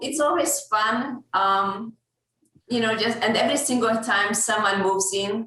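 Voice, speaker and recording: A woman with a Hungarian accent talks at a fairly high pitch with ordinary pitch variation. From Hungary. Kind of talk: casual chat.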